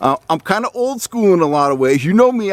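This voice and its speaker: A man's high-pitched voice at a fairly quick pace with very wide pitch swings, in a dry, close sound with no echo. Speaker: fishing channel host. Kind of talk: casual talk to camera. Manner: halting, filler words.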